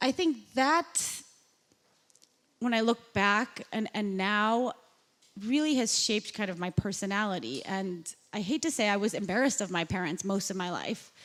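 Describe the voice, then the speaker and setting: With a Chicago accent, a woman speaks at a medium pitch and moderate pace, with lively intonation and long, frequent pauses. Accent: American (Chicago) English. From US Midwest, south side of Chicago. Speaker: journalist and podcast host. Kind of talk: onstage interview.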